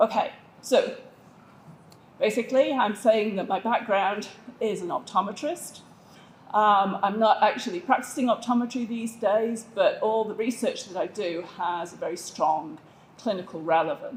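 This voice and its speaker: Against noticeable background noise, a woman with a northern English accent speaks at a moderate pace, her fairly high pitch varying in an ordinary way. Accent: English (northern England). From England, south of Manchester. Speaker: vision researcher, optometrist. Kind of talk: conference presentation.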